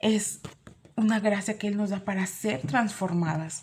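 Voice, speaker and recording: Somewhat breathy, a woman talks at a fairly slow pace with fairly high pitch and ordinary pitch variation. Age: 40s. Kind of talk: sermon.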